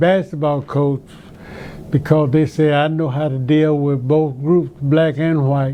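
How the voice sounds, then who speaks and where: With an Alabama accent, a man talks in a fairly high, monotone, flat voice amid noticeable background noise. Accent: Southern US (Alabama). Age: 90s. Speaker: retired teacher and basketball coach. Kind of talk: interview.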